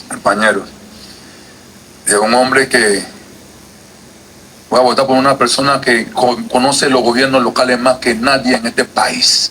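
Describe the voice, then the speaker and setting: A man with a Panamanian accent speaks at medium pitch and a fairly slow pace with long, frequent pauses. His intonation is fairly even, his loudness very even, and there is noticeable background noise. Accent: Colón Panamanian. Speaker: legislator. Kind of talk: committee speech. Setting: legislative committee session. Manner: forceful.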